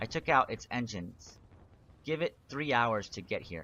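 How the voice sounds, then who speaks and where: Using a put-on character voice, a man sounds strained, with a medium pitch, lively intonation and a moderate pace. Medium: read story.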